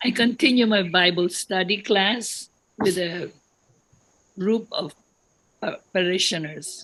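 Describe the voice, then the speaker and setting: A woman with a medium pitch and ordinary pitch variation talks at a very slow pace, leaving long, frequent pauses. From Philippines. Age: 90s. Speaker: retired religious sister, musician. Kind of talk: personal testimony.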